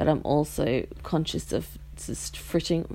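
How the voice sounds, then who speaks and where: An Australian accent on a very clean recording with a silent background. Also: woman. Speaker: podcast host. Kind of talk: casual monologue. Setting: bedroom at home. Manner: rambling, self-interrupting.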